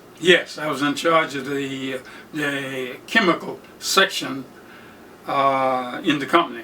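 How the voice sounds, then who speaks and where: Speaking very slowly in an American accent with ordinary pitch variation, the voice sits over noticeable background noise. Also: man, fairly high pitch for a man. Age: 90s. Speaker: World War II veteran. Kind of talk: interview answer.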